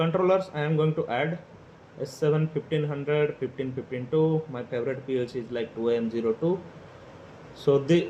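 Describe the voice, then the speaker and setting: A man with an Indian accent at a fairly quick pace, fairly high in pitch with ordinary pitch variation. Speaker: PLC automation tutorial creator. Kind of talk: tutorial. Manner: hesitant, many fillers.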